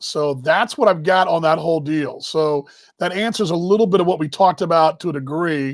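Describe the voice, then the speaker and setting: With a Texas accent, a man speaks in a high pitch at a fairly quick pace with ordinary pitch variation. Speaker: baseball show host. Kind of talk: casual live-stream chat. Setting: live stream.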